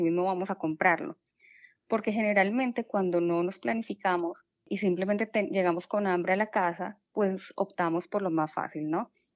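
This woman speaks at a moderate pace with a medium pitch and ordinary pitch variation. It is an unremarkable speaking voice. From Colombia. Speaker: habit change coach. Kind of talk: casual interview.

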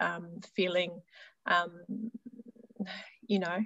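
A woman speaks in a normal speaking voice at medium pitch, with ordinary pitch variation. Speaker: healer and spiritual teacher. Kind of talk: casual interview chat.

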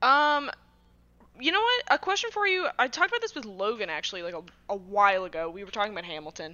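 Talking at a very fast pace, a woman with an American accent and fairly high pitch makes very wide pitch swings and big swings in loudness. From Massachusetts, US. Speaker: guest and site writer. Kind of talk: casual interview chat.

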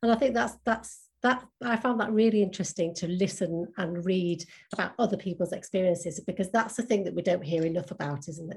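This woman speaks at a fairly quick pace in a somewhat breathy voice. Her pitch is medium, with ordinary variation. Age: 50s. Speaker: podcast host. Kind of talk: interview chat.

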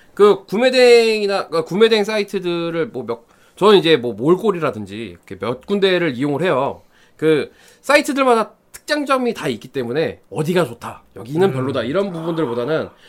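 A man's high voice with very wide pitch swings at a fairly quick pace. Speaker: hobbyist guest segment. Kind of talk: casual chat.

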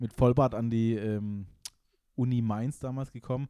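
Recorded very cleanly against a silent background, the man's dark, mellow tone sits at medium pitch with a dry, close sound and no echo. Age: 30s. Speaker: podcast co-host, university student. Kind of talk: casual chat.

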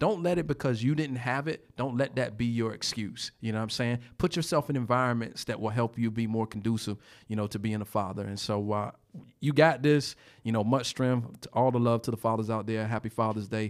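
Speaking at a fairly quick pace with an American accent, a man uses a medium pitch and ordinary pitch variation. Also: very clean recording, silent background. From Portsmouth, Virginia. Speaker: podcast co-host. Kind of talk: casual chat. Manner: animated.

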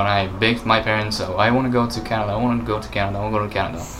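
A man with a fairly low voice talks at a very fast pace over noticeable background noise. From Japan. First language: Japanese. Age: 20s. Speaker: vegan YouTuber. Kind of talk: casual chat.

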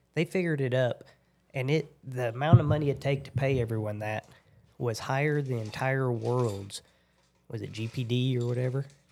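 On a very clean recording with a silent background, a man speaks at a fairly quick pace, medium in pitch, with fairly even intonation. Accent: rural Oklahoma. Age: 30s. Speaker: oil field worker and former rodeo cowboy. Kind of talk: casual chat.

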